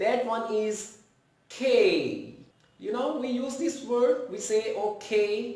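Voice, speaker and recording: Speaking very slowly with a Pakistani accent, a man with a high-pitched voice is heard over noticeable background noise and audible room echo. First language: Urdu. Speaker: English pronunciation teacher. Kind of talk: tutorial.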